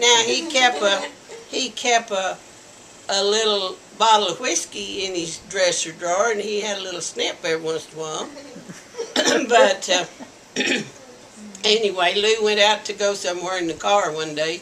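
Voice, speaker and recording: Over noticeable background noise, a woman with an American accent speaks at a medium pitch, leaving long, frequent pauses. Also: ordinary pitch variation. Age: 70s. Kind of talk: interview answer. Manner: slow, hesitant.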